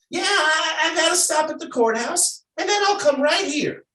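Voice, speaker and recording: A man puts on a squeaky character voice at an extremely high pitch, speaking at a moderate pace with a slight echo. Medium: stage play. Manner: hesitant, stammering.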